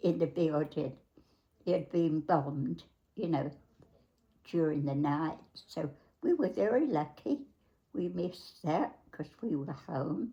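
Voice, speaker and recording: With an American accent, a woman speaks at a very deep, low pitch in a dark, mellow tone, with ordinary pitch variation and long, frequent pauses. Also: fairly slow pace. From London, England. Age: 80s+. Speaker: great-grandmother sharing life history. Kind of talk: interview, casual reminiscence. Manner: halting, searching for words.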